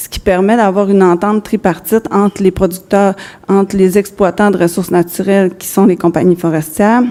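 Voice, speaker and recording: Amid noticeable background noise, the speech moves at a fairly quick pace with fairly even intonation and big swings in loudness. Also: woman, medium pitch for a woman. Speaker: business executive. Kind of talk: conference presentation. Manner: halting.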